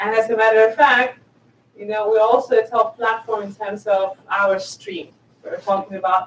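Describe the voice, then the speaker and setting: A woman with a Spanish accent, fairly high in pitch, at a fairly slow pace with fairly even intonation. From southern Spain. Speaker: tech executive. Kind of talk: conference talk.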